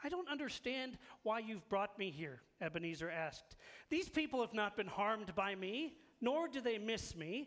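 This is plain reading aloud. The delivery stays that way throughout.

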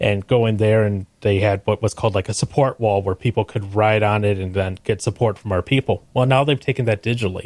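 In a plain, everyday voice, a man speaks at a fairly quick pace with fairly low pitch, fairly even intonation and hardly any pauses, recorded dry and close with no echo on a very clean recording with a silent background. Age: 30s. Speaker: podcast guest, podcast co-host. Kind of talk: casual chat.

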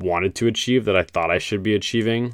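Recorded very cleanly against a silent background, a man speaks with fairly even intonation and a bright, sharp tone. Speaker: solo podcaster. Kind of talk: casual monologue. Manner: loud; high energy.

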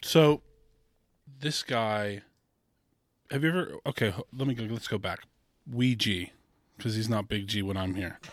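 A man with an American accent speaks at a moderate pace and medium pitch, with ordinary pitch variation and long, frequent pauses, on a very clean recording with a silent background. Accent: sounds American. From England, raised in Canada and the US. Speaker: golf caddie and fan club president. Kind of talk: casual chat. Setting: outdoor gazebo.

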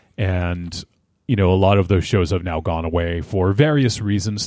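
Against a quiet background, a man speaks at a fairly slow pace in a dark, mellow voice with a very deep, low pitch and ordinary pitch variation. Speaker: podcaster. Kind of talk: casual interview conversation. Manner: halting, many repeated words.

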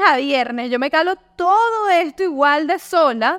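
A woman with a Venezuelan accent speaks with very wide pitch swings. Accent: Venezuelan Spanish, noticeable. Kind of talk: casual interview chat. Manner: animated.

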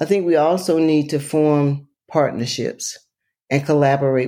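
A woman with an Alabama accent, very deep and low in pitch, dark and mellow in tone, in a very clean recording with a silent background. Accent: Southern US, Alabama. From US South, rural Alabama. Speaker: environmental health advocate and author. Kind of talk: interview conversation.

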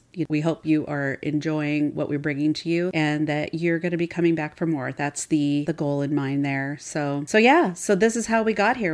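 At a fairly quick pace, a woman with an American accent speaks in a very deep, low voice with ordinary pitch variation. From US Pacific Northwest (Seattle). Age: 50s. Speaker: podcast co-host. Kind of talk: casual chat.

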